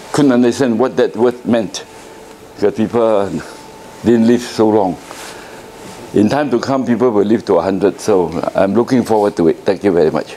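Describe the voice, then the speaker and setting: At a moderate pace, a man talks at medium pitch with ordinary pitch variation against noticeable background noise. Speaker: architect. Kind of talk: lecture. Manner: halting.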